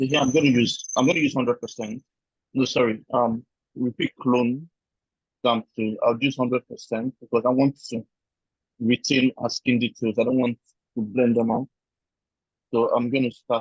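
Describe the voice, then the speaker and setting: The speaker has a Nigerian accent and a moderate pace. The intonation is monotone and flat, with long, frequent pauses. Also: man, medium pitch for a man. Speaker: photo retouching tutor. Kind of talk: one-on-one tutorial. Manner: casual, explanatory.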